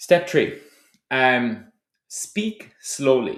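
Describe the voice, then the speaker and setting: A man talks with lively intonation. He has a slight Tipperary accent. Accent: slight Tipperary Irish. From Ireland, County Tipperary. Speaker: startup founder. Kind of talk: advice talk to camera.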